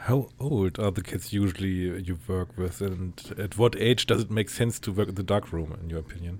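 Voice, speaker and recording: Somewhat breathy speech in a German accent, with hardly any pauses. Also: man, very deep, low pitch for a man, ordinary pitch variation, moderate pace. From Germany. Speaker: photographer and podcaster. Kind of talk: interview.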